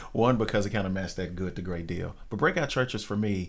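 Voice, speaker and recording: Audible room echo surrounds a man speaking with a fairly low pitch and fairly even intonation. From Arkansas, Little Rock area. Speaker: church planter. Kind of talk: interview. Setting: studio.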